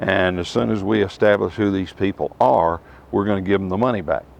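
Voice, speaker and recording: Noticeable background noise accompanies a man whose fairly low voice shows ordinary pitch variation at a moderate pace. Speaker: Bible teacher. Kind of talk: personal testimony and Bible teaching to camera. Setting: outdoors. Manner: hesitant, conversational.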